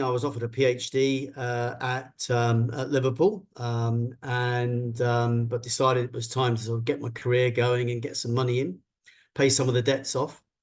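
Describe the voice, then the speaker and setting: A somewhat breathy man's voice at medium pitch, flat and monotone, with a southern English accent. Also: moderate pace. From London, England. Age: 60s. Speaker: business executive. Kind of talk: interview talk.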